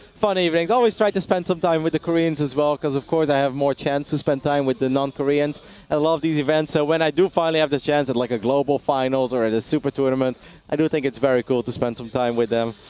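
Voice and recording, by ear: A man's fairly high voice at a fast pace, with few pauses, a slightly mellow tone and fairly even intonation.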